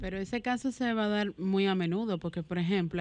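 A woman speaks in a plain, everyday voice at a moderate pace with ordinary pitch variation against a quiet background. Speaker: radio co-host. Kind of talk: radio talk show. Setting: home.

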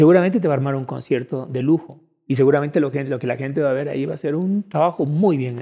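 A man rattles along at a very fast pace in a fairly high pitch. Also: ordinary pitch variation. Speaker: musician and drummer. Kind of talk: casual chat interview.

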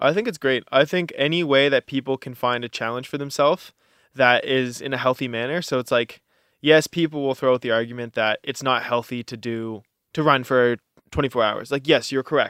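A man speaks in a normal speaking voice with fairly even intonation. The sound is dry and close with no echo, on a very clean recording over a silent background. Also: medium pitch for a man, fairly quick pace. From Canada, Halifax, Nova Scotia. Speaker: ultramarathon runner. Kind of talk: interview.

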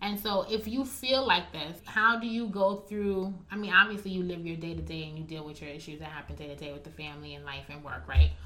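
Music plays behind a woman with a fairly low pitch and an American accent. She talks at a fairly quick pace with hardly any pauses and lively intonation. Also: big swings in loudness. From US, Haitian American. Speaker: podcast guest. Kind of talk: casual chat.

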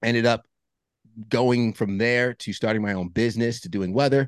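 A man talks fairly quickly in a normal speaking voice, fairly low in pitch. The sound is dry and close with no echo and a quiet background. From Long Island, New York. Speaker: meteorologist and men's group founder. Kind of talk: casual interview.

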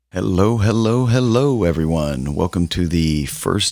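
A man speaks with very deep, low pitch in an American accent. The very clean recording has a silent background and a dry, close sound with no echo. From US Midwest (Columbus, Ohio). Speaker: podcast co-host. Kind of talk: casual chat.

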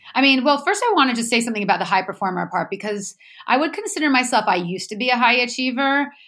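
A woman at a very fast pace and a high pitch, animated, with very wide pitch swings, over noticeable background noise. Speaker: former high-achieving salesperson turned energy healer. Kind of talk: podcast interview. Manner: animated, high energy.

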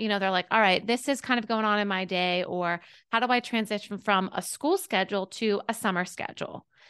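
A plain, everyday voice with an American accent moves at a fairly quick pace with hardly any pauses and fairly even intonation against a quiet background. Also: woman, medium pitch for a woman. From US, Pittsburgh, Pennsylvania. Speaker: former teacher, homeschool educator and business founder. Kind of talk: interview, casual conversation.

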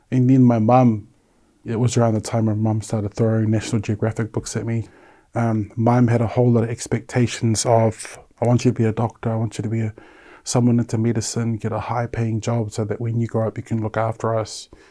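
Speaking at a fairly quick pace, a man with a medium pitch and a dark, mellow tone keeps a monotone, flat intonation. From New Zealand, South Auckland (Samoan parents). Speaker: suicide attempt survivor. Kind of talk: personal testimony.

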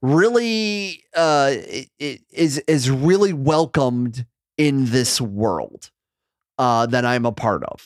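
Lively intonation marks a man's fairly high voice as he talks at a very slow pace. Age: 30s. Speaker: wrestling commentator and former radio host. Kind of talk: casual chat. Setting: video call.

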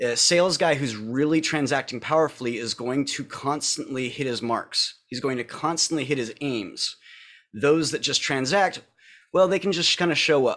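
At a moderate pace, a man with a fairly high pitch speaks with ordinary pitch variation on a very clean recording against a silent background. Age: 30s. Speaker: business educator and speaker. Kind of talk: interview. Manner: animated.

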